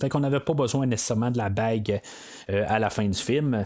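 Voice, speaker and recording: A very clean recording with a silent background, capturing a man whose pitch varies in an ordinary way. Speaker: podcast host, film reviewer. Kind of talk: solo film review podcast. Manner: halting, many fillers and repetitions.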